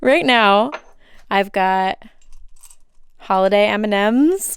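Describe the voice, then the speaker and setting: A woman with a Minnesotan accent, medium-pitched and nervous in tone, at a very slow pace with lively intonation, on a very clean recording with a silent background. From Minnesota, USA. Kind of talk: casual home tour to camera. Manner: chatty, nervous, filler-heavy.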